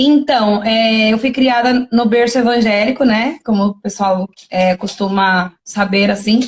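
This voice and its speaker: An unremarkable speaking voice at a fairly slow pace, with fairly even intonation, hardly any pauses and very even loudness. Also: woman, fairly high pitch for a woman. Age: 20s. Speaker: singer. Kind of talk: casual chat.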